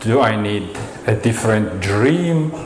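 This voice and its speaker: Very slowly and at medium pitch, a man with a Russian accent talks with ordinary pitch variation, amid noticeable background noise and audible room echo. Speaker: storyteller. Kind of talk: storytelling performance.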